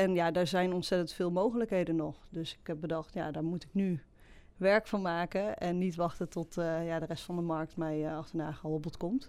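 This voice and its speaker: A woman talks at a fairly low pitch with fairly even intonation. The recording is very clean, with a silent background. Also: moderate pace. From Netherlands, Betuwe (Varik). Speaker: graphic designer. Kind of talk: interview. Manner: hesitant, many fillers.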